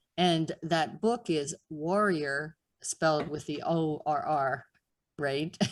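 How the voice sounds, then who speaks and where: A woman speaks with a Pittsburgh accent at a fairly low pitch. Her intonation stays fairly even, in a very clean recording with a silent background. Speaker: podcast host. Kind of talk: interview.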